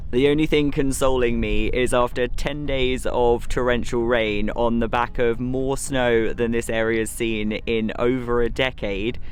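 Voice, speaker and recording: Over noticeable background noise, a man speaks at a fairly slow pace and medium pitch with monotone, flat intonation and hardly any pauses. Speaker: rural cottage renovator. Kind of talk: casual vlog narration.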